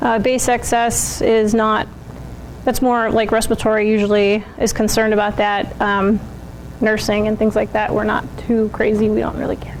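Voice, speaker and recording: A woman's fairly high voice holds a monotone, flat intonation at a moderate pace over noticeable background noise. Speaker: nursing student presenter. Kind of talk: class presentation.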